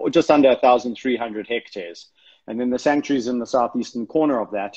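A man speaks against a quiet background. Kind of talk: interview answer. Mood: earnest, explanatory. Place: home room. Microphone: phone near.

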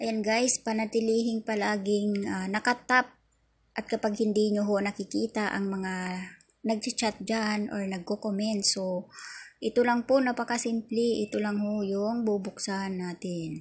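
Speaking at a fairly slow pace, a woman uses a somewhat breathy, fairly high voice with monotone, flat intonation on a very clean recording with a silent background. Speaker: YouTube vlogger. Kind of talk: tutorial. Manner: casual, filler-heavy.

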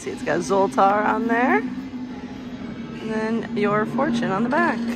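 Against loud music in the background, a woman speaks very slowly with fairly even intonation. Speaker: theme park news reporter. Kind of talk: casual talk to camera, news walkthrough. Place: shop. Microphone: phone near.

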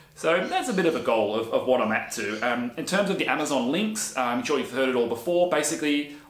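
Audible room echo surrounds a man talking at a fairly quick pace with an Australian accent. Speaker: woodworking YouTuber and handyman. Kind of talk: casual vlog monologue. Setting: home workshop on camera. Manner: chatty. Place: workshop.

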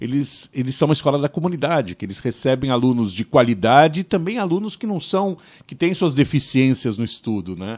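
A man's pitch swings very widely at a moderate pace against a quiet background. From Brazil, São Paulo. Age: 50s. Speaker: podcast host. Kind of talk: interview. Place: studio. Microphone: studio mic.

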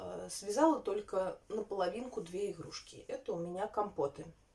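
Somewhat breathy and dark, mellow in tone, a woman speaks at a moderate pace. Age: 30s. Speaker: knitting vlogger. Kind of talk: casual vlog chat. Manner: halting, many filler sounds. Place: home room. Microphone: phone near.

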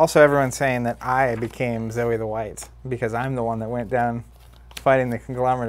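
The passage is read without strain. The voice is an unforced reading voice.

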